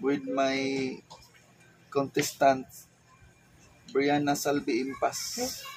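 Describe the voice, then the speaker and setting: A man with a Philippine accent, very slow pace and long, frequent pauses, over light background noise. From Philippines. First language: Cebuano (speaking Tagalog). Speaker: teacher and vlogger; teacher, vlogger. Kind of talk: casual vlog talk. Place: home room. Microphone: lapel.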